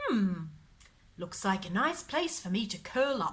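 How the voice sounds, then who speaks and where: In a put-on character voice, a woman speaks fairly slowly at a medium pitch. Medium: read story. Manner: refined, courteous.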